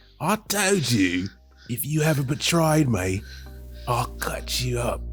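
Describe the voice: A man's raspy, put-on character voice at a medium pitch and fairly slow pace, with clear music in the background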